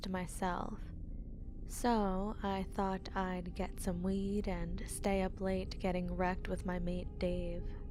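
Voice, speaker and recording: A woman talks at a fairly slow pace while music plays in the background. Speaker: horror story narrator. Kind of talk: horror story narration read aloud.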